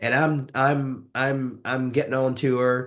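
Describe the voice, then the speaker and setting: A man speaks at a medium pitch in a Southern US accent. The background is quiet. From US South, rural West Tennessee. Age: 50s. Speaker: author and leadership coach. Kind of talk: interview.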